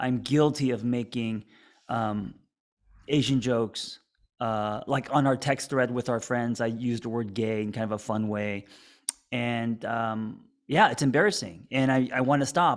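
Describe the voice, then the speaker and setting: In a plain, everyday voice, a man speaks at a fairly slow pace with medium pitch and fairly even intonation. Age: 40s. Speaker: podcast host, therapist. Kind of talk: casual chat.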